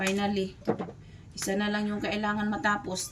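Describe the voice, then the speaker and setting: Audible room echo follows a woman as she speaks at a moderate pace. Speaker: vlogger. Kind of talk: casual vlog chat.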